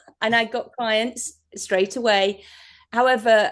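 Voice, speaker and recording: Speaking with an English accent at a fairly slow pace, a woman's fairly high voice comes through over a quiet background. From England. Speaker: hypnotherapist. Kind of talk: interview. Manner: halting.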